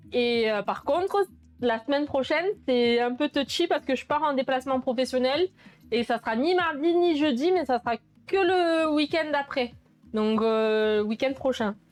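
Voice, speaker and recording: A woman's high-pitched voice with lively intonation, very even loudness and a fairly slow pace. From southern France, Sète. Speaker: cooking streamer. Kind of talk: casual live stream chat while cooking. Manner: hesitant, many fillers.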